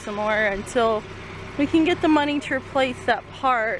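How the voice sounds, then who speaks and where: A woman is speaking. The sound is dry with no echo, and there is noticeable background noise. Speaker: family vlogger. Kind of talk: casual vlog chat. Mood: relaxed, upbeat.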